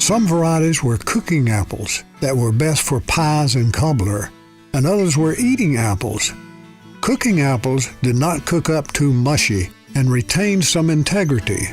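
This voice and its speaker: Over background music, a man talks at a moderate pace and fairly high pitch, his loudness very even while his pitch swings very widely. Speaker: storyteller. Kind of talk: memoir storytelling.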